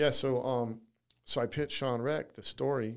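An ordinary speaking voice from a man at a medium pitch, with ordinary pitch variation on a very clean recording with a silent background. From California (Navy brat, moved around). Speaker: writer-director, former prisoner. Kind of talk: interview storytelling.

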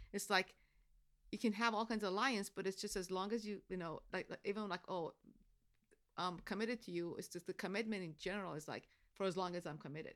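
A very fast pace with fairly even intonation. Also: woman, medium pitch for a woman. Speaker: guest, new show watcher. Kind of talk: casual chat.

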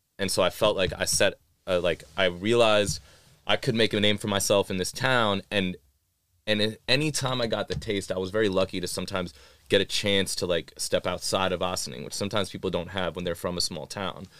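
In a very clean recording with a silent background, a man talks at a fairly quick pace in a normal speaking voice, his pitch fairly low with ordinary variation. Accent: American. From Iowa City, US Midwest. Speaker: rapper. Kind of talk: casual chat.

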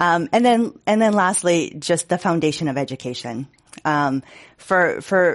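Against a quiet background, a woman with an American accent and an ordinary speaking voice talks at a moderate pace in a fairly low pitch. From Boston. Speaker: city department director, psychologist. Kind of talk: panel discussion. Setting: stage with audience.

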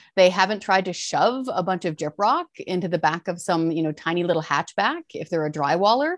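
With a Canadian accent and a normal speaking voice, a woman talks at a fairly quick pace with hardly any pauses, medium pitch and ordinary pitch variation, against a quiet background. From rural British Columbia, Fraser Canyon. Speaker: taxpayer advocacy researcher, former journalist. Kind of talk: interview.

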